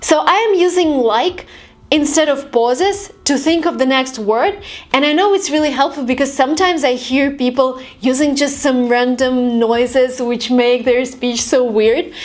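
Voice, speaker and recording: A woman's high-pitched voice at a moderate pace, with ordinary pitch variation, very even loudness and noticeable background noise. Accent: American. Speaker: YouTuber and language tips creator. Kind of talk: tutorial.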